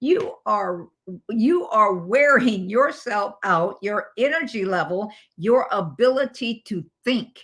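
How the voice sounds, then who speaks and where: This woman's voice sits fairly high and moves with lively intonation. She speaks at a very slow pace. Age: 80s. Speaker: motivational speaker and coach. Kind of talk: motivational talk. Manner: halting, repetitive.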